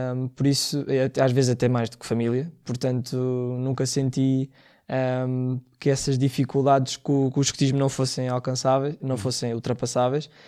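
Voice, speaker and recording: A man at a medium pitch and moderate pace, in a monotone, flat intonation, on a very clean recording with a silent background. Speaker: scout and first-aid association founder. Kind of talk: interview. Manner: hesitant, many fillers.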